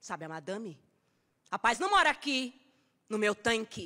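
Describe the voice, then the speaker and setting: A woman speaks in a bright, sharp, intense tone. The background is quiet. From Brazil. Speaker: actress performing a poem. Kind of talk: spoken-word poem performed as an angry, defiant monologue. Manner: fierce, defiant and sarcastic, with biting, rhythmic emphasis; intense and emotional, cracking into grief near the end. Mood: defiant, sarcastic, intense. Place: stage. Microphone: studio mic.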